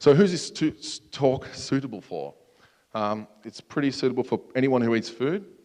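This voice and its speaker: A man with an Australian accent. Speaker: security researcher, conference speaker. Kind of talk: conference talk. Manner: casual, filler-heavy.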